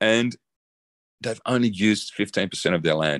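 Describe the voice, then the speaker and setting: A man with an Australian accent at a fairly quick pace, dry and close with no echo against a quiet background. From Australia (emigrated from the Netherlands at nine). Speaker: designer and zero-waste builder. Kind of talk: interview conversation.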